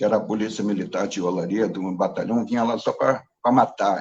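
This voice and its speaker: A man speaks at a moderate pace. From Brazil, Rio de Janeiro (Baixada Fluminense, Duque de Caxias). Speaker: participant in a class discussion. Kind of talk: discussion in a class. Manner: hesitant, many fillers and repetitions.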